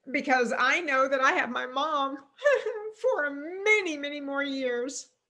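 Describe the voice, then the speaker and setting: A woman with a high pitch and a raised, projected voice speaks at a fairly slow pace, her pitch varying in an ordinary way. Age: 50s. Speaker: wellness and fitness coach. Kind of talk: interview. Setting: live video call.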